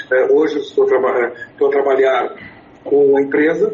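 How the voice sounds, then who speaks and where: A man speaks with an English accent against noticeable background noise. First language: English (speaking Portuguese). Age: 60s. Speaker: writer and public speaker. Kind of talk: interview. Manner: halting, many fillers and repeats.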